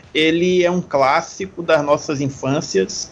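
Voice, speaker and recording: A man with a normal speaking voice, fairly slow pace and ordinary pitch variation. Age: 30s. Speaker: film podcast guest. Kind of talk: casual chat.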